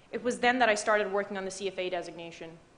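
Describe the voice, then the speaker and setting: Amid audible room echo, a woman talks at a very fast pace with a fairly high pitch. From Dubai, Middle East. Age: 20s. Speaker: banking analyst and award recipient. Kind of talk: prepared speech. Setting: stage with audience.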